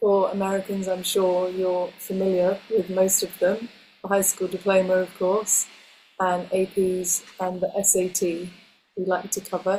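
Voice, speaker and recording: A woman with an English accent speaks at a fairly slow pace in a medium pitch, her dark, mellow tone held to a monotone, flat intonation. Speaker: homeschooling education presenter. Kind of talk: webinar presentation.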